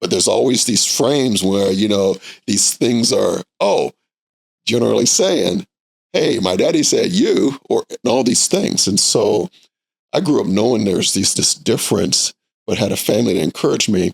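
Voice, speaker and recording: A man with an American accent at a moderate pace, in a dry, close sound with no echo. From US Midwest, Indianapolis. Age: 60s. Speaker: nonprofit executive director. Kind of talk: podcast interview. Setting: studio.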